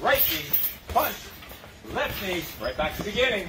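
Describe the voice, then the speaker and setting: The speaking pace is moderate. Behind it, music plays in the background. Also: man. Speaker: fitness coach. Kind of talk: live workout instruction. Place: garden.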